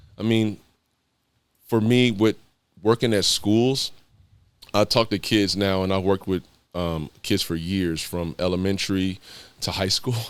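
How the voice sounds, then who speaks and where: A man with a fairly low pitch and ordinary pitch variation speaks at a fairly slow pace with long, frequent pauses, captured in a very clean recording with a silent background. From East Los Angeles, California. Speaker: former pro basketball player and mentor. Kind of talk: podcast interview. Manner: casual, conversational.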